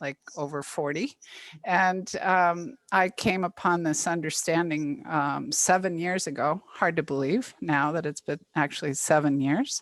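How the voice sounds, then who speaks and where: Here is an unremarkable speaking voice at a fairly slow pace. Its pitch varies in an ordinary way. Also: woman, fairly low pitch for a woman. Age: 60s. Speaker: psychotherapist. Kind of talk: webinar talk. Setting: video call.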